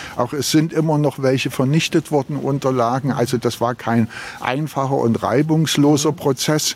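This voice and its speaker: Against noticeable background noise, a man with a fairly high voice speaks with fairly even intonation. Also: moderate pace, very even loudness. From Berlin. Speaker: local politician. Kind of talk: walking interview. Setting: outdoors.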